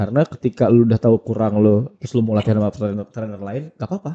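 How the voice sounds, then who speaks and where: A man speaks very fast with a Padang accent. His tone is dark and mellow, and the sound is dry and close with no echo. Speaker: basketball skills trainer. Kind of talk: podcast interview. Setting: studio.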